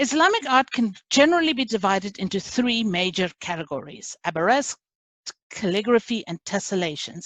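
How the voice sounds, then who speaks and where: The speaker talks in a non-native accent at a moderate pace. Pitch swings very widely. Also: woman. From South Africa. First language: not English. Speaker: class instructor. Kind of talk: lecture.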